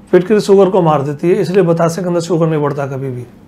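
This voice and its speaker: A man speaks at a high pitch and a moderate pace with ordinary pitch variation. There is noticeable background noise. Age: 80s+. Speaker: Ayurvedic healer. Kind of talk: interview.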